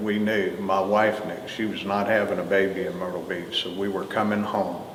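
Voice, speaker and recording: Amid audible room echo and noticeable background noise, a man speaks at a fairly low pitch and a moderate pace. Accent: North Carolina. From US South, Greensboro, North Carolina. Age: 60s. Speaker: retired fire chief. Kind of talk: oral history interview. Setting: museum.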